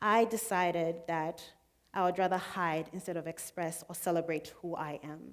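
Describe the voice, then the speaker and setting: This woman has a medium pitch and speaks with a Zambian accent. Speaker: student speaker. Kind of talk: public talk.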